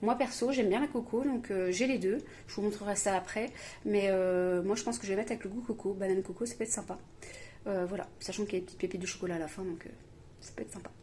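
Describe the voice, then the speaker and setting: Talking at a very fast pace, a woman uses a medium pitch with ordinary pitch variation and a dark, mellow tone. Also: big swings in loudness. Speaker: home cooking video host. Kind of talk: cooking tutorial. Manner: hesitant, many fillers.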